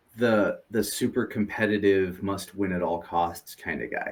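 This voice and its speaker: This is a man speaking. He has an American accent. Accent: sounds American. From Europe. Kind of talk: interview. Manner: halting, many fillers and repeats.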